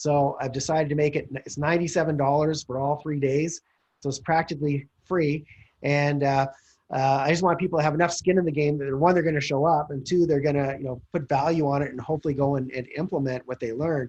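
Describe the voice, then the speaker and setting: Somewhat breathy and very fast, a man speaks at a fairly high pitch with monotone, flat intonation. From Calgary, Canada. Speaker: real estate investor. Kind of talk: interview pitch.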